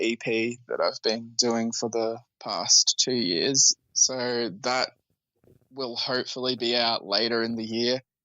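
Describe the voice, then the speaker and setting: A man with an Australian accent, at a fairly slow pace. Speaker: musician. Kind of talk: casual interview.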